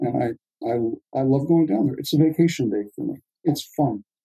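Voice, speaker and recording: Moderately paced, a man speaks with ordinary pitch variation. His voice is somewhat breathy, with a dark, mellow tone. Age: 70s. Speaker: ophthalmologist and oculoplastic surgeon. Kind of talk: casual interview.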